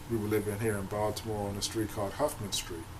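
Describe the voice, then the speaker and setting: Noticeable background noise and audible room echo surround the recording. A man talks in a fairly low pitch. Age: 50s. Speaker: abuse survivor vlogger. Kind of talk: personal testimony vlog. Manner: halting.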